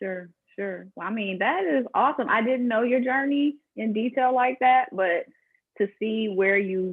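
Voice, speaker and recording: A woman with a fairly high pitch and lively intonation speaks in an ordinary speaking voice. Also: fairly slow pace. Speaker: podcast host. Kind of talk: podcast host talk.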